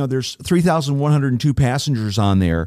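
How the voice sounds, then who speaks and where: In a very clean recording with a silent background, a man talks at a medium pitch. He has an unremarkable speaking voice and lively intonation. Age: 60s. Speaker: travel company president, cruise reviewer. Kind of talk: casual interview.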